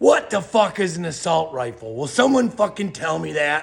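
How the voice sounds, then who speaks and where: A man shouting loudly with an American accent, his pitch swinging very widely, on a very clean recording with a silent background. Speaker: political commentator. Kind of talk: rant. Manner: loud, yelling; animated.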